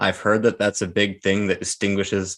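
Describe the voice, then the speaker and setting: A man with a strong Canadian accent and a fairly low pitch. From Canada. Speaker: co-host of a livestream. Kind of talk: casual chat.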